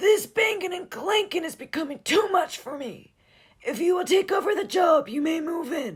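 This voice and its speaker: A man's put-on character voice, shaky and extremely high-pitched, at a moderate pace. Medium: read story. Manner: groaning, ghostly.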